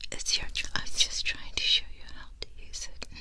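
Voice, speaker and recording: A soft-spoken woman whispers at a moderate pace. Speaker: ASMR creator. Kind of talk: soft-spoken ASMR tutorial. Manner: soft intimate near-whisper close to mic. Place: home room. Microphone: studio mic.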